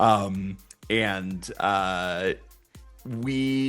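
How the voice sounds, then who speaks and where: A man talking with music in the background. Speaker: voice actor. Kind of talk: interview answer.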